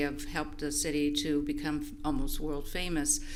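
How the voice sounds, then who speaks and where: A woman speaks at a moderate pace against noticeable background noise and audible room echo. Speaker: volunteer, public commenter. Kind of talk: public comment. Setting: public meeting. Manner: halting.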